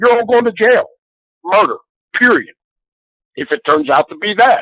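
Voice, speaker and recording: Someone with an American accent speaks with very wide pitch swings. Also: man. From Pennsylvania, Harrisburg. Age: 60s. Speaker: caller, Vietnam veteran. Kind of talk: call-in discussion. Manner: animated.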